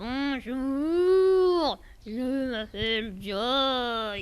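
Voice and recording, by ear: A woman puts on a character voice pitched high.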